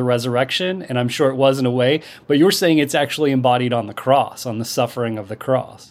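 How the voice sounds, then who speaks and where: Using an unremarkable speaking voice, a man talks at medium pitch, his pitch varying in an ordinary way. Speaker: podcast interviewer. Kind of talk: interview.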